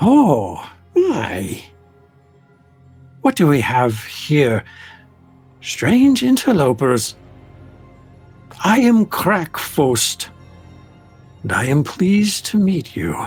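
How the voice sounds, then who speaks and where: A man talks in a put-on character voice, guttural and fairly high-pitched, with very wide pitch swings. His pace is very slow, with long, frequent pauses, and faint music plays behind him. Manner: polite, curious.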